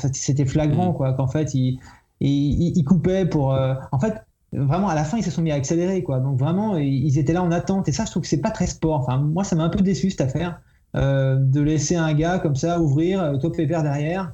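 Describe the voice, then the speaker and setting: Keeping his loudness very even, a man with a fairly high pitch and a dark, mellow tone speaks at a moderate pace with ordinary pitch variation. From Paris region, France. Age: 40s. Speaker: website creator, IT professional. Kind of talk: casual podcast interview.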